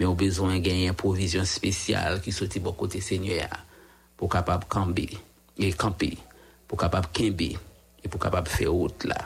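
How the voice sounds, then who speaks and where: A man with a Haitian accent speaks in a very deep, low, somewhat breathy voice at a moderate pace. His intonation is monotone and flat, and he takes long, frequent pauses. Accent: Haitian Creole-accented French. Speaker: radio prayer host. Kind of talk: radio prayer and devotional talk. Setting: radio studio. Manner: halting.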